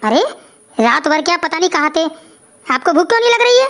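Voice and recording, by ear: A woman uses a squeaky, cartoonish character voice at an extremely high pitch. She talks at a very fast pace with very wide pitch swings.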